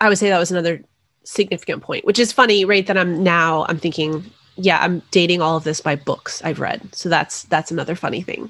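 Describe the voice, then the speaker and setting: Fairly low in pitch, a woman with a normal speaking voice talks fairly quickly with fairly even intonation on a very clean recording with a silent background. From New Mexico, US. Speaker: author. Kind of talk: interview.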